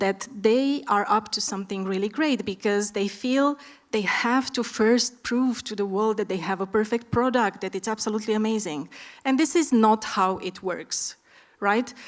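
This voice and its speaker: A woman talks with an Eastern European accent. Her pitch is fairly high, with ordinary pitch variation. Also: moderate pace. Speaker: startup expert, panelist. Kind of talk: conference panel discussion.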